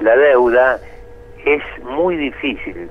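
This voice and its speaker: A man speaks over noticeable background noise. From Argentina. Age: 70s. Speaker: economist. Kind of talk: interview.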